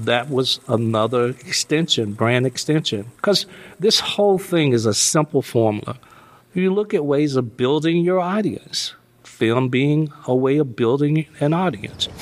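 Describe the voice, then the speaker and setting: With an unremarkable speaking voice, a man talks at a fairly slow pace and a fairly high pitch. His intonation is lively and his loudness very even. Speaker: music manager and father. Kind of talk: interview.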